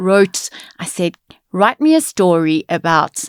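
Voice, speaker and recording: A woman at medium pitch, with a dry, close sound with no echo and a very clean recording over a silent background. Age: 40s. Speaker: lawyer. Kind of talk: interview. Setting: studio. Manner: animated.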